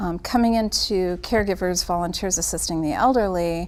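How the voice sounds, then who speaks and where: Fairly low in pitch, a woman speaks at a moderate pace in a normal speaking voice. Her intonation is fairly even. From Italian-American family. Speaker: caregiving nonprofit worker. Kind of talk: casual interview chat.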